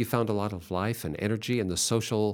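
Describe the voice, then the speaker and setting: A man talks in an unremarkable speaking voice, fairly low in pitch with ordinary pitch variation. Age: 60s. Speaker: radio host for a church ministry. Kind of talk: religious radio interview. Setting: studio.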